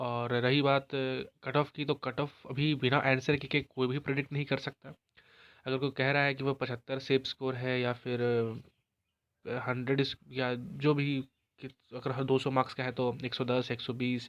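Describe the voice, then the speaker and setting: Monotone, flat intonation marks this man's voice. His pitch is medium and his pace moderate. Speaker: exam prep youtuber / teacher. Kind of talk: informational vlog talk. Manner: halting, with false starts.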